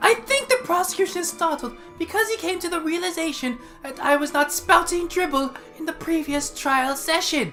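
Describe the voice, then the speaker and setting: Over clear background music, a put-on character voice speaks at a moderate pace. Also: woman, extremely high pitch for a woman. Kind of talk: courtroom speech. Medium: actual play.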